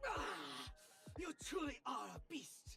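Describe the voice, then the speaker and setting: The speaker uses a put-on character voice pitched high. Clear background noise can be heard. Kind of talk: commercial jingle. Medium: video game.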